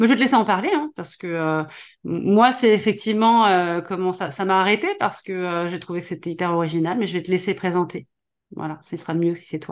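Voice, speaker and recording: A woman talks at a fairly quick pace with medium pitch and ordinary pitch variation. It is a normal speaking voice over a quiet background. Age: 40s. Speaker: podcast host and business coach. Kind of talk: interview.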